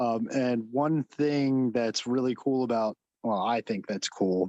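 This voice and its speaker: A man with a New Jersey accent and a medium pitch speaks at a very slow pace in a dark, mellow tone, his intonation fairly even and his loudness very even, in a dry, close sound with no echo. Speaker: mycology club member presenting finds. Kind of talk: show-and-tell presentation on video call. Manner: mumbling.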